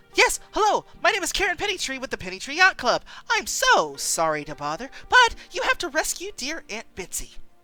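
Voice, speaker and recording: A put-on character voice moves at a fairly quick pace with music in the background. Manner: frantic, squawking.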